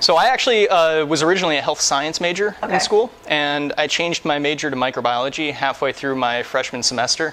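A man rattles along very fast, his pitch varying in an ordinary way, with light noise in the background. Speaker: interviewee. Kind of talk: interview answer. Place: factory. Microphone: lapel.

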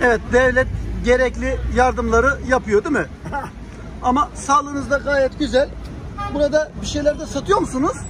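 Moderate pace with long, frequent pauses, a dry sound with no echo, and noticeable background noise. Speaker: street interviewer. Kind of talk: street interview questions. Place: shop.

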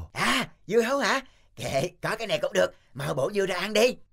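A cartoonish character voice at a middle pitch speaks at a moderate pace. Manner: whiny, pleading.

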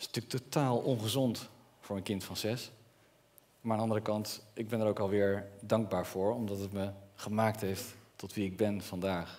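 Speaking at a moderate pace, a man uses a fairly low pitch and fairly even intonation. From Netherlands, Brabant; Netherlands. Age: 30s. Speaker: entrepreneur; speaker. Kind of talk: public speech. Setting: stage with audience. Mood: earnest, personal storytelling. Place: stage. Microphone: headset.

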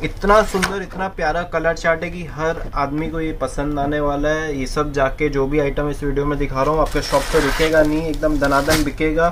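Noticeable background noise sits behind a man's voice. He speaks in a monotone, flat intonation with hardly any pauses. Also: moderate pace. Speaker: saree seller. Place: shop.

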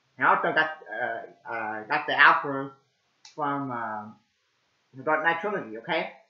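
A man's voice with audible room echo over a quiet background. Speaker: amateur movie reviewer. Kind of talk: casual vlog chat. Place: home room. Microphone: webcam.

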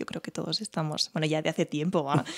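A quiet background surrounds the recording. The woman's voice sits at a fairly low pitch. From Spain, Teruel; Spain. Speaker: violinist; podcast guest. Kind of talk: interview. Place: home room. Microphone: studio mic.

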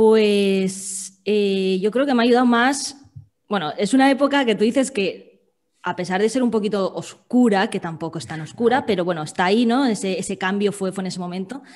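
With a quiet background, the woman's speech moves at a moderate pace and shows ordinary pitch variation. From Valencia, Spain; Spain. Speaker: food-sector copywriter; podcast guest. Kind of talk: interview conversation. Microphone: video call.

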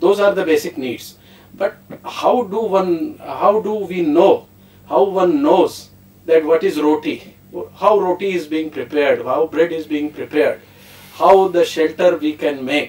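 A man with an Indian accent speaks at a fairly slow pace in a high voice, with ordinary pitch variation over noticeable background noise. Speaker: professor. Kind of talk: panel discussion. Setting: studio.

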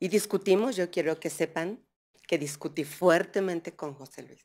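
Speaking at a fairly slow pace, a woman with a fairly low pitch and ordinary pitch variation shows big swings in loudness. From Mixteca Alta, Oaxaca, Mexico; Oaxaca, Mexico. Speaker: speaker. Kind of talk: heartfelt speech. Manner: colloquial. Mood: earnest, reflective. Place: hall. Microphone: podium.

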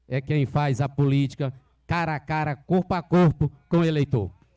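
A man's dark, mellow voice at a moderate pace against a quiet background. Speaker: local councillor. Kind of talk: public speech. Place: open country. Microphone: handheld.

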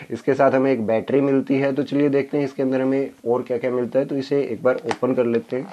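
A man talks in a flat, monotone delivery with hardly any pauses. Light background noise sits underneath. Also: moderate pace. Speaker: tech youtuber. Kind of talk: unboxing review. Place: home room.

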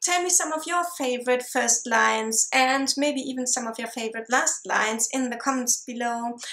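A woman's fairly high voice with a bright, sharp tone, moderate pace and ordinary pitch variation.

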